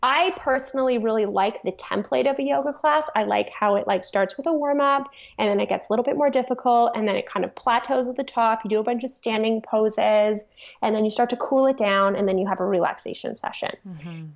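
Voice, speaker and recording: A woman with a Canadian accent and an unremarkable speaking voice talks fairly quickly in a fairly high pitch with lively intonation. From Toronto, Canada. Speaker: yoga and strength teacher. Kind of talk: interview.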